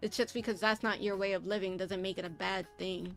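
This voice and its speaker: Music plays behind a woman as she talks. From Puerto Rico. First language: Spanish and English. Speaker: streamer. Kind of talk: casual live-stream chat.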